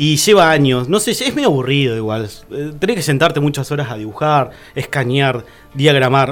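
A fairly high-pitched male voice with ordinary pitch variation, music in the background. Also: moderate pace. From Argentina, Tierra del Fuego (Río Grande). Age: 30s. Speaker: painter and visual artist. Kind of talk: casual interview chat.

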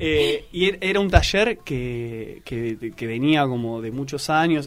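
The speaker is a man. His delivery is very slow. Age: 20s. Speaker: actor and theatre teacher. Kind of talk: radio interview. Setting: radio studio.

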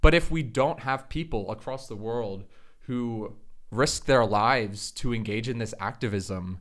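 A man with an American accent speaks at a very slow pace in a medium pitch. His pitch variation is ordinary, and the recording is very clean with a silent background. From Florida, US. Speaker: panelist, LGBT activist. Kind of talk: panel discussion.

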